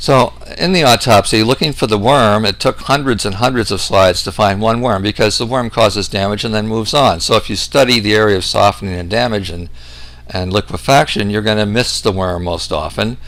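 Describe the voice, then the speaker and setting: Fairly low in pitch, a man talks at a fairly quick pace with ordinary pitch variation. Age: 60s. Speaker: medical researcher, doctor. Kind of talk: lecture. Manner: hesitant with frequent fillers.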